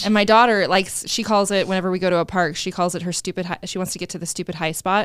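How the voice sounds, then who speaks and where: A woman of medium pitch rushes along at a very fast pace with hardly any pauses, in a monotone, flat intonation. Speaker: podcast co-host. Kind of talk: casual podcast conversation.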